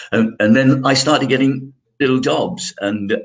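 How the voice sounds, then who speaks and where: A man speaks in a British RP accent with ordinary pitch variation. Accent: British RP-leaning, trained elocution. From London, England. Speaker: actor. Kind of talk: interview. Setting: live broadcast. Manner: halting.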